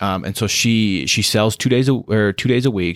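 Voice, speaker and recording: Recorded very cleanly against a silent background, a plain, everyday voice with an American accent sounds dry and close, with no echo. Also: man. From Wyoming, US. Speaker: anti-trafficking worker. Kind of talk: interview.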